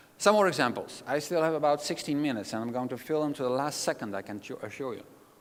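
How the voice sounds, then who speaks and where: Speaking with a Dutch accent, the voice moves at a very fast pace with lively intonation. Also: man, fairly high pitch for a man. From Netherlands. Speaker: keynote speaker. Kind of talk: conference talk. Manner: animated.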